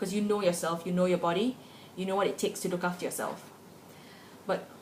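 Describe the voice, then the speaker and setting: Noticeable background noise sits under this woman's voice. Her intonation stays fairly even. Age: 20s. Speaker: vlogger. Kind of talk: personal opinion vlog. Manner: casual, conversational.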